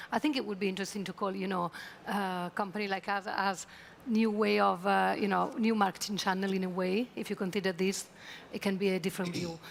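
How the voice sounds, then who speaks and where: At a fairly quick pace, a woman talks with an Italian accent. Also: medium pitch for a woman, fairly even intonation. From Italy. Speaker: travel tech executive. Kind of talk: conference panel discussion.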